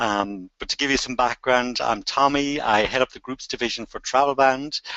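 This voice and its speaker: The speaker has an Irish accent and a moderate pace. Intonation is fairly even, while loudness swings widely. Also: man, medium pitch for a man. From Ireland. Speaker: travel company group sales head. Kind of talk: interview.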